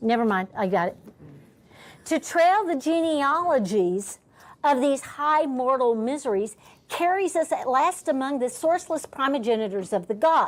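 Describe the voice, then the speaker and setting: A woman with an American accent, high-pitched, with very wide pitch swings, at a moderate pace, in a very clean recording with a silent background. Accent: Dallas (Texas) accent when angry. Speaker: teacher. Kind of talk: classroom discussion.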